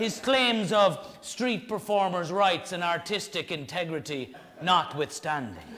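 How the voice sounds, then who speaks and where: Over noticeable background noise, a man with an Irish accent speaks at a fairly slow pace, his high voice animated in tone and lively in intonation. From Ireland. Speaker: storyteller, comedian. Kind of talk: live one-man comedy show. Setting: live audience, stage. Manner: animated, comic.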